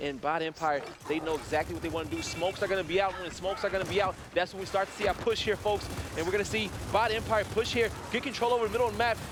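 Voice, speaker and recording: Noticeable background noise surrounds a man with a high voice. He talks very fast in an animated tone with ordinary pitch variation. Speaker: esports commentator. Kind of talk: live commentary.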